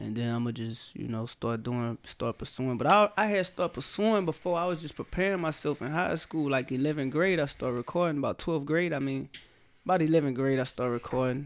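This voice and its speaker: On a very clean recording with a silent background, a man with a Louisiana accent talks at a fairly quick pace in a fairly high pitch. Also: lively intonation. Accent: Baton Rouge. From South Baton Rouge, Louisiana. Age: 20s. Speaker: rapper. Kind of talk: casual chat.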